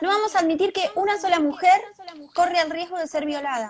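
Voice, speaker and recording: Loud and animated, a woman talks at a fairly quick pace in an extremely high voice with a Rioplatense accent. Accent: Argentine Spanish (rioplatense). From Argentina. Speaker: video podcast host. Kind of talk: interview. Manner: naturally loud.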